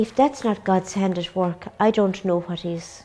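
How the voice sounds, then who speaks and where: Music plays in the background. The speaker has an Irish accent and goes at a fairly slow pace. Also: woman. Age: 60s. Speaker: nun running a charity. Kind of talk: interview.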